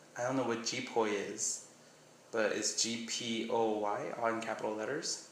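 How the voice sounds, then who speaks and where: A man with an American accent speaks at a moderate pace in a medium pitch, his intonation flat and monotone, with audible room echo and noticeable background noise. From Miami, Florida. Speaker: vlogger. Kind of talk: casual vlog, reading a question list. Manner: casual, rambling.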